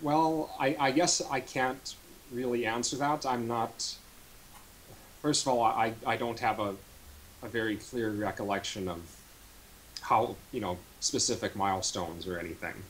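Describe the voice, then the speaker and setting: Over light background noise, a man with an American accent and a medium pitch talks at a moderate pace, using lively intonation and long, frequent pauses. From North Dakota, US. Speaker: rhythm game player; interviewee. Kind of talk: casual interview. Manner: halting, repeats words. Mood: relaxed, smiling. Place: home room. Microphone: studio mic.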